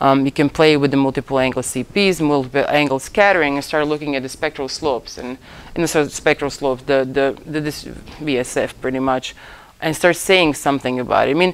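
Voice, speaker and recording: A woman's very deep, low voice, fairly quick and fairly even in intonation. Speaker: lecturer in ocean optics. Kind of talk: lecture. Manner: fast.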